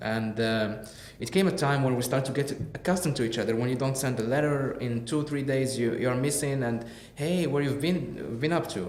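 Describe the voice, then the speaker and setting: Amid noticeable background noise and audible room echo, a man talks at a fairly quick pace and medium pitch with ordinary pitch variation. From Morocco, Casablanca. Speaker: podcast guest. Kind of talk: casual interview chat. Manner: halting.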